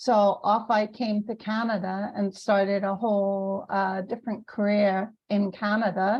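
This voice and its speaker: Somewhat breathy speech moves at a fairly slow pace with hardly any pauses and a monotone, flat intonation. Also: woman, medium pitch for a woman. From UK. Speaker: business consultant and podcast host. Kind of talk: interview.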